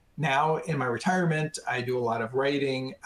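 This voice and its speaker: An American-accented man speaks in a normal speaking voice at medium pitch. His pace is moderate, with ordinary pitch variation. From Arizona. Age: 60s. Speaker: retired tech worker living with ALS. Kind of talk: webinar interview. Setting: webinar.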